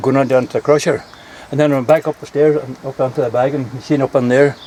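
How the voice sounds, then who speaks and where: Noticeable background noise sits behind a man speaking. His pitch is fairly high with fairly even intonation. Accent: Donegal. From Ireland, East Donegal. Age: 80s+. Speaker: local elder. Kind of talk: casual chat.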